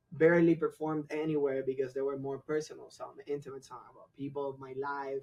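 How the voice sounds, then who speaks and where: In a Spanish accent, a man with a fairly high pitch talks at a fairly quick pace using monotone, flat intonation. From Cuba. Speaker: singer-songwriter and guitarist. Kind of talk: casual podcast interview.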